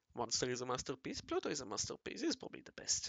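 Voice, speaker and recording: A man at a very fast pace. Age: 20s. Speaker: amateur artist. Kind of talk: casual chat while drawing. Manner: rambling, halting.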